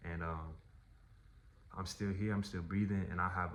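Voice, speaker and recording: Audible room echo surrounds a man with a very deep, low pitch. He speaks in a monotone, flat intonation. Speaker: artist and vlogger. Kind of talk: personal storytelling vlog.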